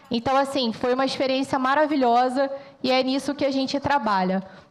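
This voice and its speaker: The words come at a moderate speed. The intonation remains fairly level. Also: woman. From Rio de Janeiro, Baixada Fluminense (Belford Roxo). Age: 40s. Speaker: military police officer and veterinarian. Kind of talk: presentation to audience.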